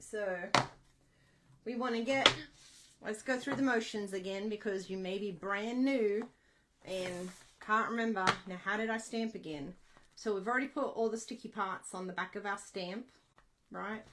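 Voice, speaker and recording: A woman with an Australian accent speaks at a moderate pace in a bright, sharp tone and a fairly high pitch, leaving long, frequent pauses. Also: ordinary pitch variation. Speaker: craft demonstrator. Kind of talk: tutorial. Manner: casual, chatty.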